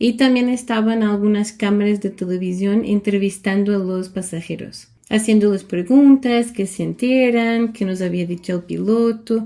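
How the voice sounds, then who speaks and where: Speaking with a Portuguese accent, a woman of medium pitch talks at a fairly slow pace with hardly any pauses, her tone dark and mellow and her intonation fairly even. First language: Portuguese (speaking Spanish). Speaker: vlogger. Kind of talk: personal storytelling.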